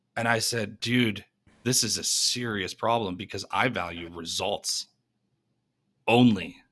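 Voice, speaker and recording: A man at medium pitch, fairly slow with long, frequent pauses and ordinary pitch variation, on a very clean recording with a silent background. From New York. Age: 30s. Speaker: entrepreneur and keynote speaker. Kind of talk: podcast interview. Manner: energetic.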